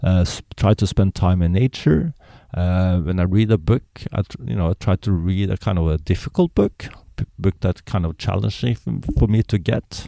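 A man with a Norwegian accent speaks at a moderate pace in a very deep, low, dark and mellow voice with ordinary pitch variation. The sound is dry and close with no echo, on a very clean recording with a silent background. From Norway. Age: 50s. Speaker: polar explorer. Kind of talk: casual interview. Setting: in-person interview. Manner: hesitant, many fillers.

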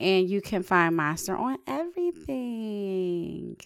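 A woman speaks with ordinary pitch variation, and the recording is very clean with a silent background. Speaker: singer. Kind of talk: casual chat.

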